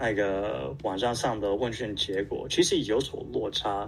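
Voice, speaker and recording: Audible room echo surrounds a man's fairly low voice, which carries vocal fry. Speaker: survey organizer and asexual community volunteer. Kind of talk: interview. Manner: halting.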